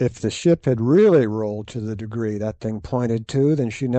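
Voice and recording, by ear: With ordinary pitch variation, the words are read aloud in a natural voice.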